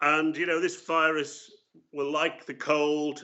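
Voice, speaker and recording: A man speaks at a very slow pace in a fairly high voice. His intonation stays monotone and flat. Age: 70s. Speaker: public health professor. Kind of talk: interview monologue.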